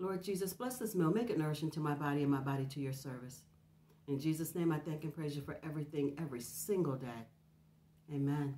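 A woman speaks with a very deep, low pitch and ordinary pitch variation. Her pace is very fast. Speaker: food vlogger. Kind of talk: casual vlog chat. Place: home room.

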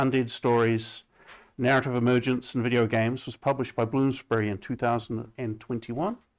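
A man with a New Zealand accent talks at a moderate pace with fairly even intonation over a quiet background. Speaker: seminar moderator, games researcher. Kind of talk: event introduction and moderation. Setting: seminar room with audience. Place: classroom.

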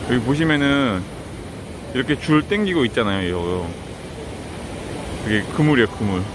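A man at a moderate pace with very wide pitch swings, in a dry sound with no echo and noticeable background noise. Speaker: travel vlogger. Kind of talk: casual vlog chat. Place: beach. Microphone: phone near.

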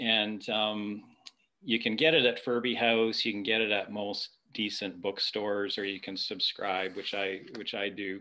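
A man's fairly low, bright, sharp voice at a fairly slow pace, with little pitch movement

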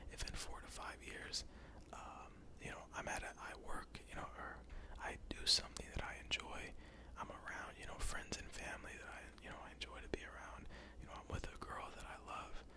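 A man whispers in an American accent. His pace is moderate. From United States. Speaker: ASMR YouTuber. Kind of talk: casual Q&A talk to camera. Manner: casual, conversational, friendly. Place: home room. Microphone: studio mic.

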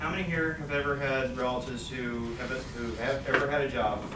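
A man speaks at a moderate pace. Noticeable background noise can be heard. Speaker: college student. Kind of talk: class presentation speech. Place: classroom. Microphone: camera far.

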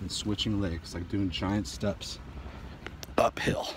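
Noticeable background noise surrounds a man's voice, which has a dry sound with no echo. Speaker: martial arts instructor. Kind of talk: tutorial. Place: street. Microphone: phone near.

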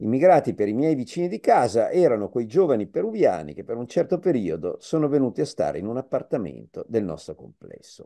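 A man talks at a fairly quick pace, and the background stays quiet. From Piedmont, Vercelli; Piedmont. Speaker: professor, migration expert; professor. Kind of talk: public lecture. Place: home room. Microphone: video call.

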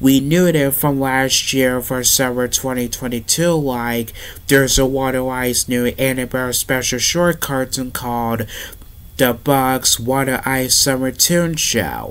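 A man at a fairly slow pace, with fairly even intonation. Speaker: vlogger. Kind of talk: casual vlog chat. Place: home room.

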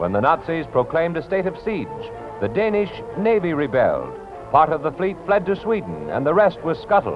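The speech moves at a fairly quick pace. Clear music plays in the background. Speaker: newsreel narrator. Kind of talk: newsreel narration. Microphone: old recording.

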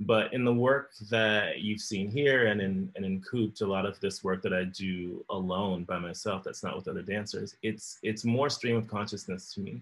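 Fairly low in pitch, a man speaks with an American accent. His intonation is fairly even. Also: moderate pace. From US South (Florida). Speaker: choreographer and dancer. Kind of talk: interview conversation. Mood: calm, reflective. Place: home room. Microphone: video call.

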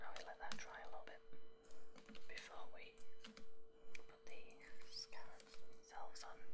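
Soft-spoken whispering at a very slow pace over loud background noise. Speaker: ASMR creator, miniature assembler; ASMR creator. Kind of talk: whispered ASMR hobby assembly video. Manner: whispered, soft-spoken, slow. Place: home room.

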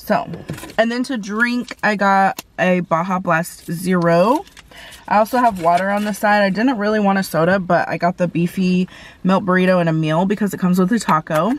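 A woman talks at a moderate pace with ordinary pitch variation in a dry sound with no echo. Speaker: food vlogger. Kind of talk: casual vlog chat. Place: car. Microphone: phone near.

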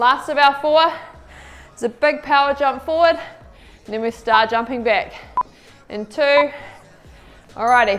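Fairly slow speech with ordinary pitch variation over faint music in the background. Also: woman. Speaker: fitness instructor. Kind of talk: workout class instruction. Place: studio.

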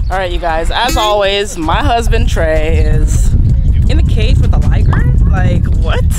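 Loud background noise fills the clip. The speech moves at a fairly slow pace. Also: woman, dry sound with no echo. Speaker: vlogger. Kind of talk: casual vlog chat. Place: open country. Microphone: phone near.

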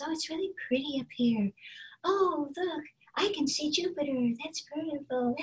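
In a put-on character voice, a female-sounding speaker talks breathily at a moderate pace with a high pitch. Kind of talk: character voice demonstration. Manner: gentle, dreamy, floating. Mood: awed, delighted.

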